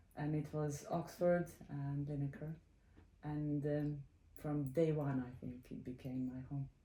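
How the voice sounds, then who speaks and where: With a Serbian accent, this woman speaks fairly slowly in a very deep, low voice with a dark, mellow tone and fairly even intonation. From Serbia (former Yugoslavia). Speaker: computer science professor. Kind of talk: interview. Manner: halting, many fillers.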